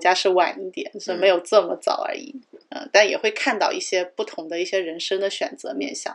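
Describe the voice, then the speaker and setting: She is a woman with a medium-pitched voice, an ordinary speaking voice, and lively intonation. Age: 30s. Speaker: podcast co-host. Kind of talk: casual chat.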